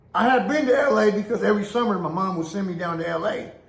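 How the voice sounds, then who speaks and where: A man with an American accent speaks fairly quickly in an animated tone with lively intonation. Noticeable background noise and audible room echo are present. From Oakland, California. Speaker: former prison inmate storyteller. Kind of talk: casual storytelling monologue. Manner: animated, repetitive filler.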